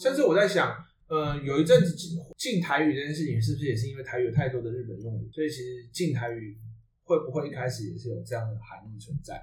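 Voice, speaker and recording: Very fast, somewhat breathy speech with big swings in loudness, ordinary pitch variation, and audible room echo. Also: man, medium pitch for a man. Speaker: podcast host. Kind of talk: casual chat.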